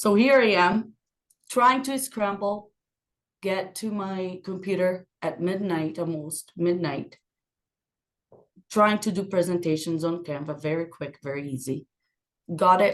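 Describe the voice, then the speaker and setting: With a non-native accent and lively intonation, a woman speaks at medium pitch and a fairly slow pace, leaving long, frequent pauses. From Brazil. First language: Portuguese. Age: 30s. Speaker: podcast guest, working mother. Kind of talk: casual chat.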